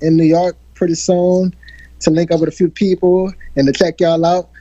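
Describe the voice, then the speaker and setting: A high-pitched man with a slight country accent speaks in a monotone, flat intonation, the sound dry and close with no echo. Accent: slight country twang. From New Orleans, Fifth Ward (Treme). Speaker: R&B singer. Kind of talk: interview.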